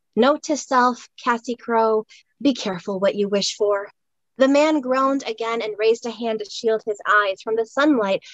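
Against a quiet background, the pitch of an unforced reading voice varies in an ordinary way.

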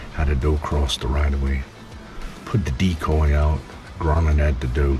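A man talks at a moderate pace in a very deep, low pitch. Music plays in the background. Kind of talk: casual vlog chat. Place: tent. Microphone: phone near.

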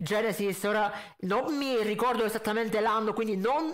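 A man's high voice moves through ordinary pitch changes while he keeps a moderate pace.

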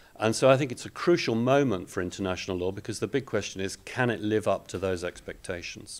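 A man talks at a very fast pace with hardly any pauses. His fairly low voice carries lively intonation. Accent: British. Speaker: international law professor. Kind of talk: panel discussion. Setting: event hall with live audience.

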